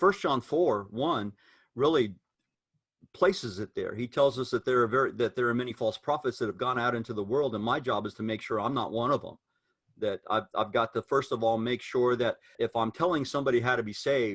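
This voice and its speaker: At a fairly quick pace, a man speaks in a medium pitch with ordinary pitch variation and an unremarkable speaking voice. The sound is dry and close, with no echo. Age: 60s. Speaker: preacher. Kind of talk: casual discussion among preachers.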